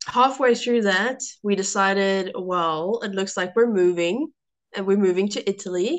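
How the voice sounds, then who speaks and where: A woman with a South African accent speaks at a medium pitch and a fairly slow pace. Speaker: food and lifestyle blogger. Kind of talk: podcast interview.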